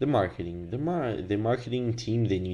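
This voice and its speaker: A man speaks at a moderate pace with a non-native accent. His tone is dark and mellow. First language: not English. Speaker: business teacher. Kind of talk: lecture. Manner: hesitant with many fillers.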